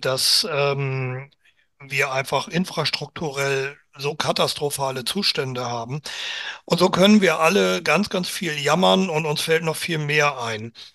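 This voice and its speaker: Very slowly and with a bright, sharp tone, a man speaks at a fairly high pitch with ordinary variation over a quiet background. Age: 60s. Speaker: amateur football club chairman. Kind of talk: casual interview chat.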